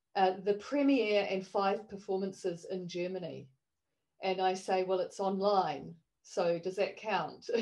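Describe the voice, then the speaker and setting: This woman has a New Zealand accent and a medium pitch. She speaks at a fairly slow pace with fairly even intonation. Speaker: online performance artist. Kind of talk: panel discussion.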